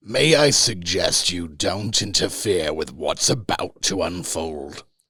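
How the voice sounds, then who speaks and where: Putting on a character voice, a man speaks very deep and low, raspy, at a fairly slow pace. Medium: read story. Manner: gentle yet overwhelming, measured.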